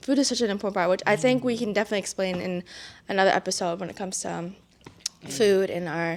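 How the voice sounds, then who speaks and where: A woman speaks at a very fast pace with a Vietnamese accent. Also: medium pitch for a woman, ordinary pitch variation. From Massachusetts (Brockton), US East Coast. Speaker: student podcast co-host. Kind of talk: casual chat.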